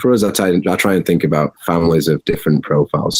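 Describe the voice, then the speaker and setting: A man with a Yorkshire accent and a very deep, low pitch, talking at a very fast pace, in a dry, close sound with no echo. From Yorkshire, England. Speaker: cannabis farm executive. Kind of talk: interview answer.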